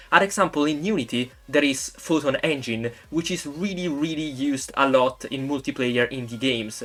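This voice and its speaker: The speaker uses an Italian accent, keeping a moderate pace with hardly any pauses. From Italy. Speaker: YouTube game developer. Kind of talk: tutorial.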